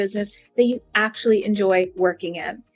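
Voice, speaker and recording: Speaking at a fairly quick pace, a woman with an East Coast US accent uses lively intonation. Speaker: podcast host, business coach. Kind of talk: scripted podcast intro.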